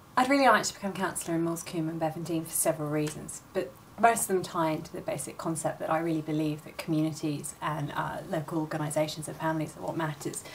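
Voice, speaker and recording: Over noticeable background noise, a woman talks very fast at a fairly low pitch with fairly even intonation. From rural Oxfordshire, England. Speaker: council candidate and teacher. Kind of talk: campaign statement. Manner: formal.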